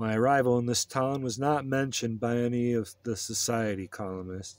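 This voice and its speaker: In a dry sound with no echo, a man speaks deadpan at a moderate pace and medium pitch. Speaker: audiobook reader. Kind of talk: audiobook reading aloud of a gonzo political memoir, first-person narration. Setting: video channel, solo recording. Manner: deadpan, conversational narration with rough profanity. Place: home room.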